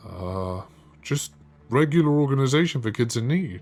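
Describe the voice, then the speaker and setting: Putting on a character voice, a man speaks at a moderate pace and medium pitch. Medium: read story. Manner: prying, evasive.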